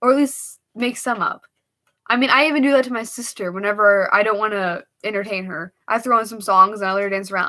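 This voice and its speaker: A woman with a bright, sharp tone talks at a fairly high pitch and a fairly quick pace, with ordinary pitch variation. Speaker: livestreamer. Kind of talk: casual livestream chat. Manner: fast.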